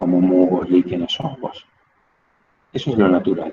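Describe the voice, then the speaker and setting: Very deep and low, the man's voice has a dark, mellow tone. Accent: Rioplatense. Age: 60s. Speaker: teacher. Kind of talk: lecture. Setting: outdoors.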